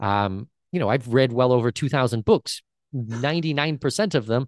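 A man with a Canadian accent talks at a moderate pace in an ordinary speaking voice. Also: dry, close sound with no echo. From Canada, Southwestern Ontario. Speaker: entrepreneur and traveller. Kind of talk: casual interview chat.

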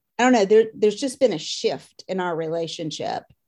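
The tone of this woman's voice is dark and mellow. Behind her, the background is quiet. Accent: Southern US. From US South, Louisiana and Mississippi. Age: 50s. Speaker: course participant, mother. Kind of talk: interview.

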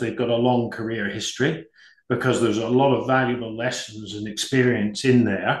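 A man with a British accent talks with fairly even intonation. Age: 50s. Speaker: business executive. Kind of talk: interview.

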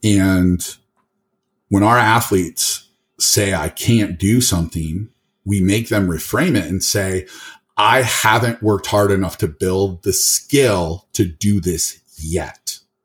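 The delivery is somewhat breathy, very slow, and in an American accent. Pitch variation is ordinary, and the recording is very clean with a silent background. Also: man, fairly low pitch for a man. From northern Michigan, US. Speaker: powerlifter and gym owner. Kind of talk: casual interview. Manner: articulate.

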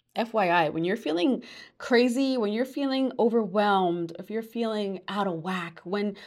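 A woman with an American accent and a plain, everyday voice speaks at medium pitch and a moderate pace with ordinary pitch variation, on a very clean recording with a silent background. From New York. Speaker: podcast host and life coach. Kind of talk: solo podcast monologue.

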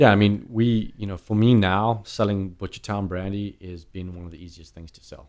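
A man with a South African accent talks at a moderate pace with hardly any pauses, using fairly low pitch, fairly even intonation and big swings in loudness. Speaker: brandy sales manager. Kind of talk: casual chat.

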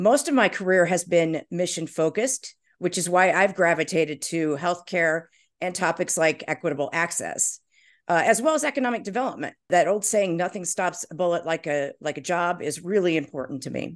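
A woman with an American accent and an ordinary speaking voice, fairly low in pitch with ordinary pitch variation, at a fairly quick pace against a quiet background. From Indiana, US Midwest. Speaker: marketing executive and former city council candidate. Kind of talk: interview.

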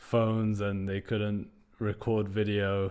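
Speaking in a British accent, a man keeps a fairly low pitch and a monotone, flat intonation. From UK, British Iranian. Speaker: podcast host. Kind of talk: casual interview chat; scripted narration.

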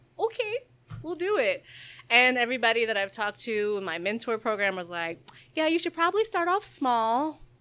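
A woman with an American accent speaks at a fairly quick pace in a high, bright, sharp voice with very wide pitch swings, on a very clean recording with a silent background. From Detroit area, Michigan (Southfield). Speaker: baker and small business owner. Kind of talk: casual interview. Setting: in her kitchen.

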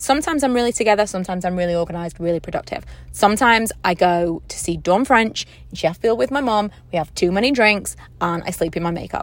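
Her pace is very fast and her pitch is medium for a woman. The woman's intonation is lively. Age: 30s. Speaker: podcaster and YouTuber. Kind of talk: casual solo podcast monologue. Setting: in a parked car. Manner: chatty, informal.

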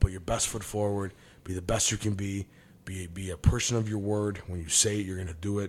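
A man speaks at a fairly quick pace in an ordinary speaking voice with a fairly low pitch. The recording is very clean with a silent background. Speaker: business executive and medium. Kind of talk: casual chat.

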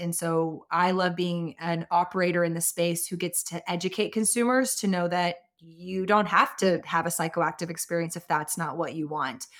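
A woman with an American accent talks at a moderate pace in an ordinary speaking voice, pitched fairly low. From Austin, Texas. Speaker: cannabis business owner and advocate. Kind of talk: interview. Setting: remote call.

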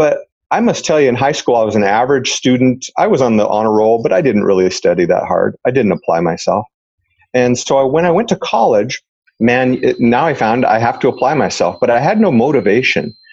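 A man with a normal speaking voice talks at a fairly quick clip, his medium pitch moving in a lively way while his loudness stays very even. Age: 50s. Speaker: retired police officer and real estate investor. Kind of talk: interview conversation.

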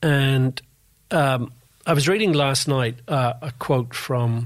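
A man with a medium pitch speaks in a Northern Irish accent. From Northern Ireland, Belfast. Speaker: Formula One industry analyst and author. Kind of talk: interview.

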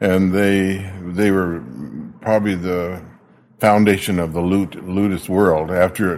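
Fairly slow and fairly even in intonation, a man with an American accent speaks at a very deep, low pitch. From Arizona, US. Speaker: luthier. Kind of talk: casual interview. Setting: workshop.

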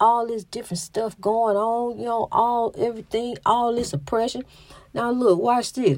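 Her Southern US accent comes through as a woman speaks at a moderate pace with a fairly high pitch and ordinary pitch variation. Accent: Southern US, country-sounding. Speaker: podcast host. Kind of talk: inspirational monologue. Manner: halting.

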